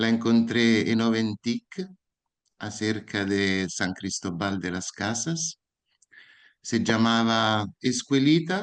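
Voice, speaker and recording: Against a quiet background, a man of medium pitch with an Italian accent speaks very slowly, his intonation lively. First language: Italian (speaking Spanish). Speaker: educator. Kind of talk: lecture.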